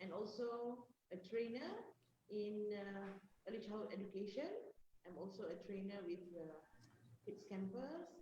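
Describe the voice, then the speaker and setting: A woman's somewhat breathy, dark, mellow voice at medium pitch and moderate pace, with long, frequent pauses and audible room echo. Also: ordinary pitch variation. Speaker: early childhood educator and trainer. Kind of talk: panel discussion. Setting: live online video panel.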